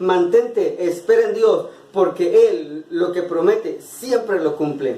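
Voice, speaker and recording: A man speaks at an extremely high pitch with very wide pitch swings. Noticeable background noise runs underneath. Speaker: preacher delivering a monologue-sermon. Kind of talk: sermon / preaching monologue.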